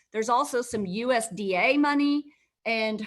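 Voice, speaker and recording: She has a plain, everyday voice, fairly high in pitch for a woman, with ordinary pitch variation. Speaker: healthcare law presenter. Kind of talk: webinar presentation. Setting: live virtual webinar.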